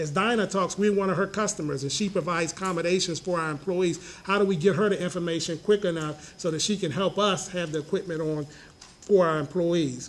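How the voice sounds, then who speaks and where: A man talks at a fairly quick pace with a high pitch and fairly even intonation. There is noticeable background noise. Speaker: government agency official. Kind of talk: conference panel talk. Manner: fast.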